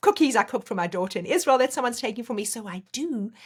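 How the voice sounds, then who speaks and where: Talking at a very fast pace, a woman sounds animated and somewhat breathy, her pitch swinging very widely. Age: 60s. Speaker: life coach. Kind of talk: casual chat.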